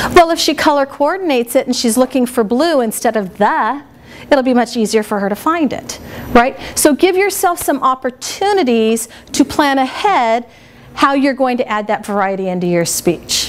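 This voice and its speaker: A woman with a high voice speaks at a moderate pace in an animated tone, her pitch swinging very widely over noticeable background noise. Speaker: speech teacher. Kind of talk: workshop lecture. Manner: animated, varied intonation.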